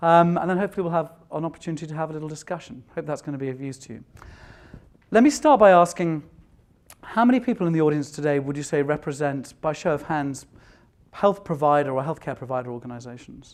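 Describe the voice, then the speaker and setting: A man with a non-native accent at a very fast pace, with big swings in loudness. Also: fairly high pitch for a man, ordinary pitch variation. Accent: non-American, noticeable. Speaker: tech executive, conference speaker. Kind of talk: conference keynote talk. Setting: stage with audience.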